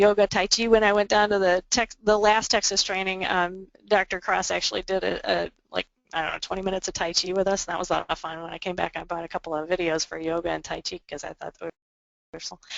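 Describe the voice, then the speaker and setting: Her loudness swinging widely, a woman speaks at a very fast pace with fairly even intonation. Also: medium pitch for a woman. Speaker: adoption agency therapy presenter. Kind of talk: webinar presentation. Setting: webinar. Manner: halting, many fillers and repetitions.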